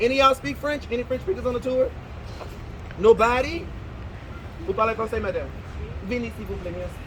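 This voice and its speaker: A man with an animated tone at a very fast pace, over noticeable background noise. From Louisiana, New Orleans. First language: Louisiana Creole. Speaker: tour guide. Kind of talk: guided walking tour talk.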